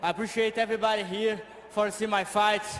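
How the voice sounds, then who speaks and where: This man speaks with a Brazilian Portuguese accent and a high pitch. His pace is moderate. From Brazil, Rio de Janeiro state. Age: 20s. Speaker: MMA fighter. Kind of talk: post-fight interview. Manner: halting.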